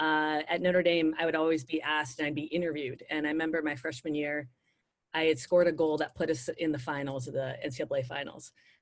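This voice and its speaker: A woman's very deep, low voice at a very fast pace, with ordinary pitch variation. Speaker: former soccer player and sports analyst. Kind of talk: interview. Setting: video call.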